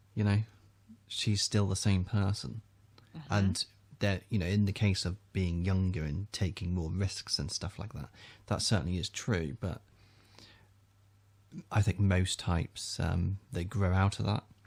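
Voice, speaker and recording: In a very clean recording with a silent background, a man with a very deep, low voice speaks somewhat breathily at a fairly slow pace, using ordinary pitch variation and long, frequent pauses. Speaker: personality typology video host. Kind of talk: casual conversational commentary.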